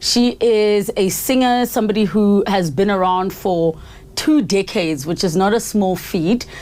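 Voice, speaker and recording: Using a normal speaking voice, a woman of medium pitch talks fairly slowly, with ordinary pitch variation and very even loudness. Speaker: podcast host. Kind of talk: podcast interview questions.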